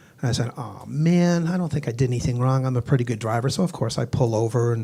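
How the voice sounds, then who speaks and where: Very fast and somewhat breathy, the speech has a dark, mellow tone, ordinary pitch variation and an American accent. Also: man. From Boston, Massachusetts. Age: 60s. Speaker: stand-up comedian. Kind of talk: stand-up. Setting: stage with audience.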